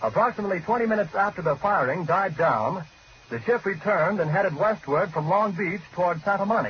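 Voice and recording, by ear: A man talks at a fairly quick pace with high pitch and lively intonation.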